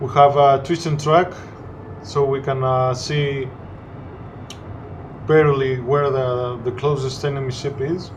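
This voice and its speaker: Amid noticeable background noise and audible room echo, a man with a Greek accent speaks at a fairly slow pace in a monotone, flat intonation with long, frequent pauses. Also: fairly high pitch for a man. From Greece. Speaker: gaming commentator. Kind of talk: gameplay commentary. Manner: halting, many fillers.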